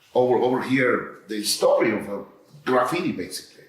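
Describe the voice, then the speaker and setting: Noticeable noise fills the background, and the room adds audible echo. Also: man. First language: not English. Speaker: artist. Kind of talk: artist talk. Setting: art gallery with audience. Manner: halting.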